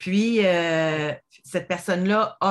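A woman with a Quebec accent, fairly low pitch and ordinary pitch variation, on a very clean recording with a silent background. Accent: Québécois French. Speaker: podcast host. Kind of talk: casual chat.

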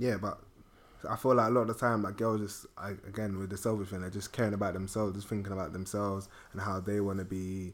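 A man talks at a fairly quick pace in a fairly low pitch with monotone, flat intonation. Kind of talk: casual chat.

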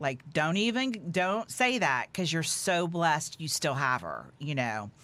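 In an American accent, a woman with a very deep, low voice swings very widely in pitch on a very clean recording with a silent background. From Houston, Texas. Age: 50s. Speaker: magazine publisher and former broadcaster. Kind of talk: casual chat.

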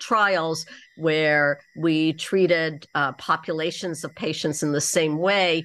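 On a very clean recording with a silent background, a woman with a Canadian accent speaks slowly-ish at a very deep, low pitch with fairly even intonation. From Canada (Toronto). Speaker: oncologist and clinical trials researcher. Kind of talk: debate.

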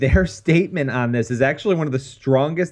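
At a moderate pace, an ordinary speaking voice moves with lively intonation. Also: man. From New York. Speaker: podcast co-host. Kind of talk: casual chat. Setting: studio.

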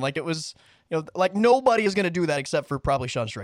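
A man's high-pitched voice with lively intonation, dry and close with no echo, in a very clean recording with a silent background. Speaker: MMA podcast host. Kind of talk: casual sports talk podcast.

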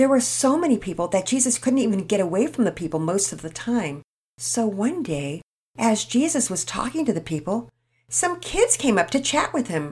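With very wide pitch swings, a woman's fairly high, somewhat breathy voice moves at a moderate pace. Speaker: children's storyteller. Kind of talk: reading aloud; religious lesson.

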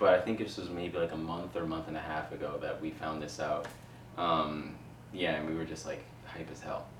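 Very deep and low, a man's voice carries an American accent at a moderate pace with fairly even intonation. Audible room echo and noticeable background noise are present. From Queens, New York. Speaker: video production company owner. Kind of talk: casual interview chat. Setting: in-person in a living room.

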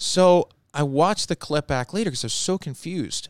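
With an American accent, a man talks at a fairly slow pace with lively intonation in an ordinary speaking voice. The sound is dry and close, with no echo. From Long Island, New York. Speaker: baseball broadcaster. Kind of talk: casual chat. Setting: studio.

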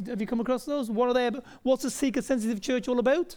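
A man speaks with an extremely high pitch and a dark, mellow tone. His intonation is fairly even, and the recording is very clean with a silent background. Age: 40s. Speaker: pastor. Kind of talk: sermon. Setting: church.

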